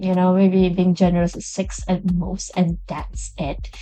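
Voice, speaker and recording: Music plays in the background as a woman talks. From Chinese background. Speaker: game reviewer YouTuber. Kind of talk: casual video review. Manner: rambling, hesitant.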